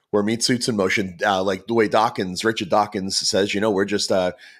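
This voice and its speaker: A man with a Boston accent speaks at a fairly low pitch with fairly even intonation in a very clean recording with a silent background. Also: very even loudness. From Boston, US. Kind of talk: podcast interview. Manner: halting, many fillers and repetitions.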